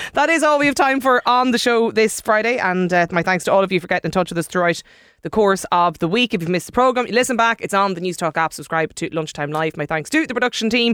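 A very fast, nearly pause-free delivery in an Irish accent, on a very clean recording with a silent background. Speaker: radio host. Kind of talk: casual chat.

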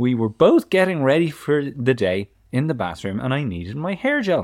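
In an Irish accent, a man speaks with very wide pitch swings on a very clean recording with a silent background. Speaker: parenting podcast co-host. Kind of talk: casual chat.

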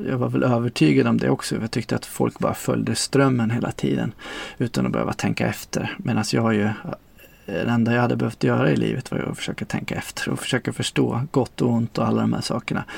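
A man rattles off his words very quickly while noticeable background noise carries on. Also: dry, close sound with no echo. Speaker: former sect member. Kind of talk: testimony.

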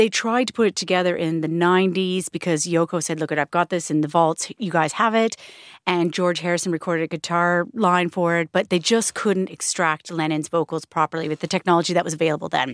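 A woman with a Canadian accent and a plain, everyday voice talks at a fairly quick pace with hardly any pauses, fairly low pitch and fairly even intonation. The sound is dry and close, with no echo. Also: very clean recording, silent background. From Canada. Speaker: radio presenter. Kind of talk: casual chat.

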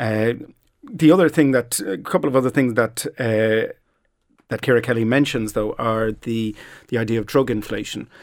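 On a very clean recording with a silent background, a man with a Dublin accent speaks at a moderate pace and medium pitch with ordinary pitch variation. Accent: Irish (Dublin). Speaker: social scientist. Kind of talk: panel discussion. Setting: studio.

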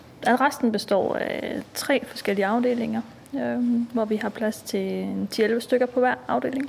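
Against noticeable background noise, a woman talks fairly slowly. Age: 40s. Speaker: prison officer. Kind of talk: interview.

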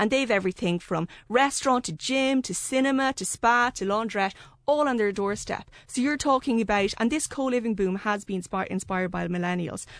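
A woman speaks with an Irish accent. Her pace is fairly quick. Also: fairly high pitch for a woman, ordinary pitch variation, hardly any pauses. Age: young. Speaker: journalist. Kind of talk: radio panel discussion. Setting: studio.

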